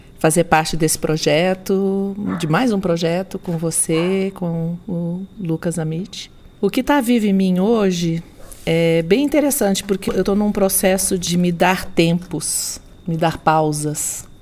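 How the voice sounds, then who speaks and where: Speaking at a very slow pace, the woman keeps a medium pitch and ordinary pitch variation. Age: 60s. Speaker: doula and therapist. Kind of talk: interview conversation.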